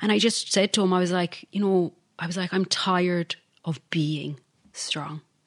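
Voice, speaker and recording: This woman speaks with an Irish accent. The background is quiet. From Ireland. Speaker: podcaster and life coach. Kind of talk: interview, personal testimony.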